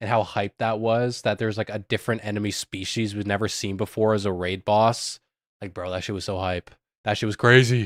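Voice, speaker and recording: Fairly even intonation at a moderate pace in a slight Canadian accent, on a very clean recording with a silent background and a dry, close sound with no echo. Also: man. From Canada. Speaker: streamer. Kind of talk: casual livestream commentary. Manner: casual, lots of filler words; rising and falling intonation.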